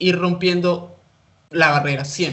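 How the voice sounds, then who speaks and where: The speaker talks fairly slowly with fairly even intonation, in a Caracas accent. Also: man. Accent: Venezuelan Spanish (Caracas). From Venezuela, Caracas. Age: 20s. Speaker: UX/UI designer. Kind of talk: casual interview.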